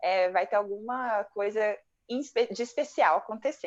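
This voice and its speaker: A plain, everyday voice from a woman, pitched fairly high and moving at a moderate pace. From Brazil. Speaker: psychologist and channel co-host. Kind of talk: casual chat.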